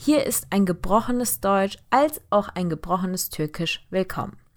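Recorded very cleanly over a silent background, a woman with an ordinary speaking voice talks at a fairly slow pace with lively intonation. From Germany, Heidelberg, partly raised in Turkey. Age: 20s. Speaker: podcast host, engineering student. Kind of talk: podcast introduction monologue.

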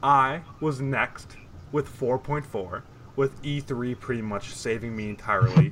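A man talks at a fairly slow pace in an ordinary speaking voice, with medium pitch and ordinary pitch variation. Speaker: esports podcast co-host. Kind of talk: casual chat.

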